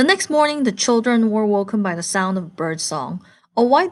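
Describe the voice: This is plain reading aloud with lively intonation.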